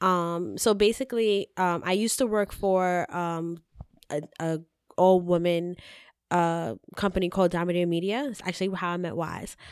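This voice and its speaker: A woman's fairly low voice in a New York accent, with ordinary pitch variation and a moderate pace, on a very clean recording against a silent background. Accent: New York City. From New York City, the Bronx. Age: 20s. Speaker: event organizer. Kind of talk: casual chat. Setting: studio.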